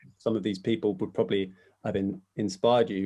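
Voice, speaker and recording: Keeping a moderate pace, a man talks in a fairly low pitch with fairly even intonation. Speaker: podcast host. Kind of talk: casual interview questions.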